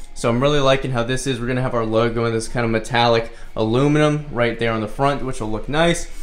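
A man's fairly quick speech with ordinary pitch variation over faint music in the background. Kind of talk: casual vlog chat. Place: gym. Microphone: phone near.

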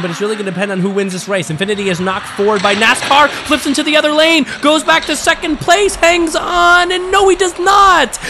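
Over noticeable background noise, a man uses a raised, projected voice at a very fast pace with very wide pitch swings. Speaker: diecast race commentator. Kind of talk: live race commentary. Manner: animated.

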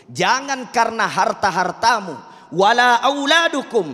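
In a Makassar accent, a man uses a raised, projected voice with a bright, sharp tone and very wide pitch swings against a quiet background. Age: young. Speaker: Islamic preacher. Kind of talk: sermon. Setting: mosque with audience. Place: studio. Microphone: handheld.

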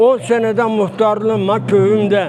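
Amid noticeable background noise, a man with a high pitch speaks in fairly even intonation. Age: 80s+. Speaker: former village headman. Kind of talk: interview answer.

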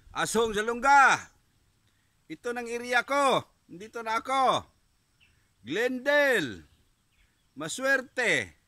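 A man with an extremely high pitch speaks very slowly in a raised, projected voice with a bright, sharp tone and ordinary pitch variation. He leaves long, frequent pauses, and the recording is very clean with a silent background. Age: 40s. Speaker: vlogger. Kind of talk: casual vlog.

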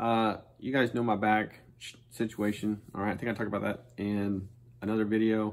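At a moderate pace, a man talks. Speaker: school PE teacher. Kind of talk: casual instructional chat to students. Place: office. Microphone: phone near.

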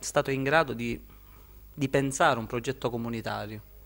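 A man speaks at a medium pitch. He has a Sicilian accent. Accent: Sicilian accent kept. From Sicily, Termini Imerese; Sicily. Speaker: author; interviewee. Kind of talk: interview. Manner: halting, repeats words. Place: shop. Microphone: handheld.

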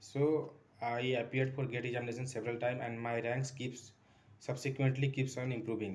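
With an Indian accent, a man talks at a fairly quick pace in a monotone, flat intonation. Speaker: maths tutor. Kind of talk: self-introduction for a job interview. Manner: hesitant, many fillers. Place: home room. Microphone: phone near.

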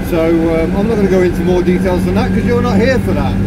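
A man over loud background noise. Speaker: vlogger driving. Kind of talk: casual vlog chat. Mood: reflective, somewhat subdued. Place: car. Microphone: phone near.

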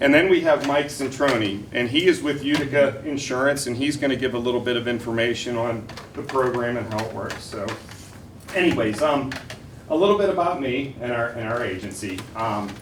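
The speaker has an American accent and talks at a fairly quick pace with ordinary pitch variation. Audible room echo and noticeable background noise are present. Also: man, medium pitch for a man. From Western Pennsylvania, Cranberry. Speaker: insurance agent. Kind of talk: sales pitch. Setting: school board meeting. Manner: loud when nervous.

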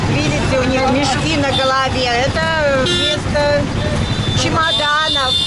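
A woman at a very slow pace with long, frequent pauses, a dry sound with no echo and loud background noise. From Russia, Saint Petersburg. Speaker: travel vlogger. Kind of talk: casual vlog talk to camera. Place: car. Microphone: phone near.

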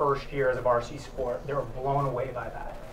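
Faint noise sits in the background. A man speaks at a medium pitch with little pitch movement.

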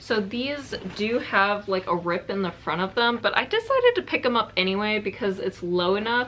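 The woman's pitch varies in an ordinary way as she talks at a fairly slow pace. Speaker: reseller vlogger. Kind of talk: casual haul vlog chat. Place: home room.

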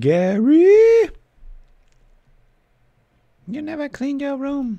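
A put-on character voice, high-pitched with very wide pitch swings, delivered at a very slow pace. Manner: scolding, harsh.

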